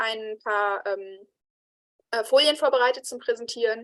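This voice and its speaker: A woman speaks at a fairly slow pace with ordinary pitch variation. The sound is dry and close with no echo, over a quiet background. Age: young. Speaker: moderator, political employee of sex worker association. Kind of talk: online event moderation. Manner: hesitant, many fillers.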